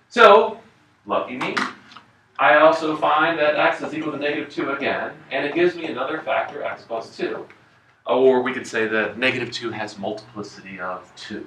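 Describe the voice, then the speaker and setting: Lively intonation runs through a man's fairly high voice, recorded with audible room echo and noticeable background noise. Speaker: math teacher. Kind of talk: classroom lecture. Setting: classroom with students. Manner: fast.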